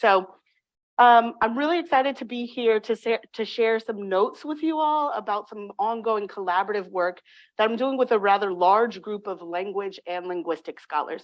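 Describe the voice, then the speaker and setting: A woman's fairly high voice with lively intonation, in an American accent. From California, Bay Area. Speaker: linguistics professor. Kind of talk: academic lecture, partly read aloud. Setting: lecture room with audience. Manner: fast.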